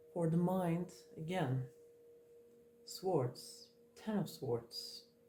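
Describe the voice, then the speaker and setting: A woman with a fairly low pitch speaks at a very slow pace, her pitch swinging very widely against noticeable background noise. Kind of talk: tarot card reading. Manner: mellow, slow-paced; calm, reflective.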